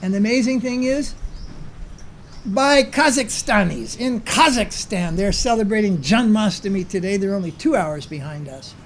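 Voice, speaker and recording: There is audible room echo as a man speaks in a high pitch for a man. His intonation is lively, with big swings in loudness. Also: moderate pace. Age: 70s. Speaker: spiritual teacher. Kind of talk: lecture. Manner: conversational, with filler sounds.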